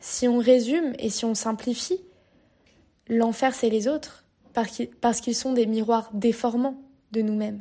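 Speaking at a fairly slow pace with long, frequent pauses, a woman with a fairly high pitch and dark, mellow tone keeps her intonation fairly even on a very clean recording with a silent background. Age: 20s. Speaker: podcaster, university student. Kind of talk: personal monologue podcast. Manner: halting.

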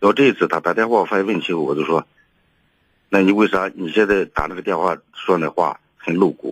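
The sound is dry and close, with no echo, as a man speaks at a fairly quick pace. His pitch is fairly low and varies in an ordinary way. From rural northern China. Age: 60s. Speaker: caller. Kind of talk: call-in advice conversation. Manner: halting, repeating words.

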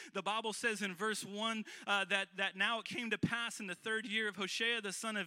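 The raised, projected voice is bright and sharp yet animated and warm, moving at a moderate pace. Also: man. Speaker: guest preacher. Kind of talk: sermon delivered live to a congregation, with call-and-response. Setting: church. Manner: animated, warm and exhortatory, building to bold rallying calls; conversational and folksy, with frequent fillers and repeated phrases.

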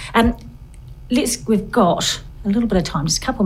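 In a New Zealand accent, a woman talks at a very fast pace. Her intonation is lively. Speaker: podcast host. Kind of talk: casual interview chat. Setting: studio. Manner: animated.

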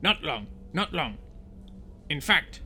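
Clear background noise accompanies a man doing a put-on character voice. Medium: read story. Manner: terse, clipped.

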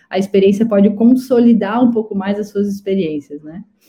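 The woman's voice comes out somewhat breathy. She talks at a fairly quick pace. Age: 30s. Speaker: startup CEO and founder. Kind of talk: live interview chat.

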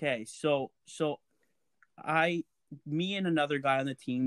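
A man with a Canadian accent has a normal speaking voice and ordinary pitch variation. The sound is dry and close with no echo, on a very clean recording with a silent background. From Alberta, Canada. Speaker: podcast co-host. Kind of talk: casual chat.

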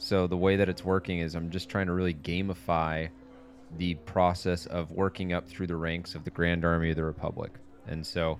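A man's very deep, low voice at a moderate pace, monotone and flat, with music in the background. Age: 30s. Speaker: fitness coach and YouTuber. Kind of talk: casual chat.

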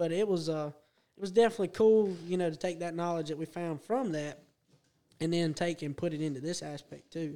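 Here a man with a high pitch speaks fairly quickly, using ordinary pitch variation. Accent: Southern US. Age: 20s. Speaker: go-kart racer. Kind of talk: casual chat. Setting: studio.

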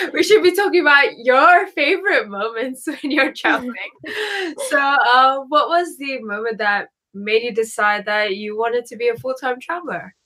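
A woman's raised, projected voice sits at a high pitch, moving at a moderate pace. Her pitch swings very widely and her loudness shifts a lot. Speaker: travel podcast host. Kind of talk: casual interview.

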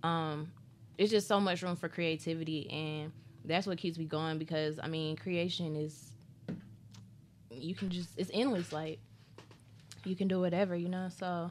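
A woman with an unremarkable speaking voice talks at a fairly slow pace, with a fairly low pitch and ordinary pitch variation. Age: 20s. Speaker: festival founder and artist manager. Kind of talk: casual chat.

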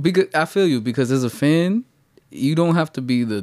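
A man with very wide pitch swings, in a very clean recording with a silent background. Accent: New York. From New York City (the Bronx). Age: 30s. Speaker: podcast co-host. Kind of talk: casual chat.

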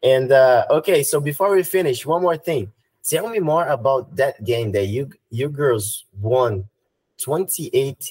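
A man speaks very slowly in a Brazilian accent, his intonation lively. His voice is somewhat breathy. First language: Portuguese. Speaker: podcast host. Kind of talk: interview in English.

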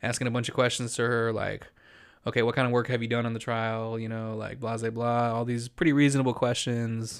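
The recording is very clean, with a silent background. The speaker has an American accent and a fairly quick pace. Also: man. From El Paso, Texas. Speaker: podcast co-host. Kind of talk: casual chat. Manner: halting.

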